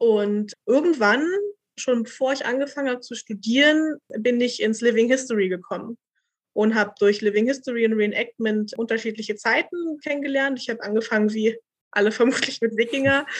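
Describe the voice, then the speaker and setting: Her voice is a normal speaking voice, fairly high-pitched, with ordinary pitch variation as the woman speaks at a moderate pace. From Berlin. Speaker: doctoral researcher in textile archaeology. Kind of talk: casual interview.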